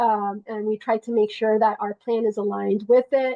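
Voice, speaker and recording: A woman talks at a moderate pace with a fairly high pitch. Her intonation is monotone and flat. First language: Spanish. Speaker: nonprofit network coordinator. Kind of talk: online meeting update. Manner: halting, many fillers and restarts.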